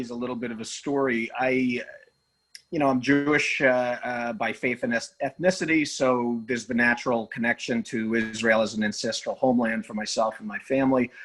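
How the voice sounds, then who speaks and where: Moderate pace and ordinary pitch variation in a man's speech. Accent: New York. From New York. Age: 40s. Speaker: attorney and former hockey player. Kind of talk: podcast interview.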